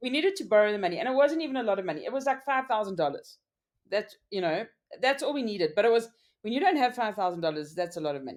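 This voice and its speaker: Loud and very fast, a woman speaks at a fairly high pitch with very wide pitch swings. The recording is very clean, with a silent background. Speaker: business owner. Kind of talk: interview.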